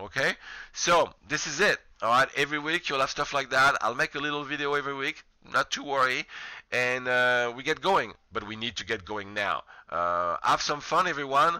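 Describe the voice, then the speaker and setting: This man has a fairly high-pitched voice with a bright, sharp tone and a non-native accent. He talks at a moderate pace with lively intonation. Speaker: college professor. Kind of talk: lecture.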